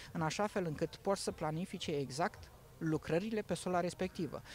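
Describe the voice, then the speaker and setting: A man talks at a moderate pace. The sound is dry, with no echo. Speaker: digital agriculture product specialist. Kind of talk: promotional interview. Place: farm machine. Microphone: handheld.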